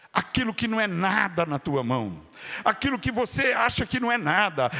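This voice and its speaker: Speaking at a fairly slow pace, a man uses a raised, projected voice. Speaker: pastor. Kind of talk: sermon. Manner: fervent, with bursts of speaking in tongues.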